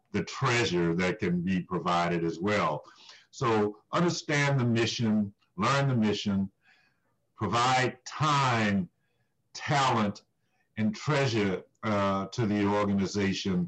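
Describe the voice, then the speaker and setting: Over a quiet background, a plain, everyday voice speaks at a fairly slow pace with very even loudness and ordinary pitch variation. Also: man. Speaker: nonprofit CEO. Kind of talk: formal interview. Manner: formal, measured.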